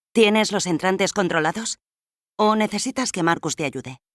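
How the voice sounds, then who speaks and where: Using a put-on character voice at a high pitch, a man speaks at a moderate pace with ordinary pitch variation and a dry, close sound with no echo. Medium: read story. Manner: commanding, brisk.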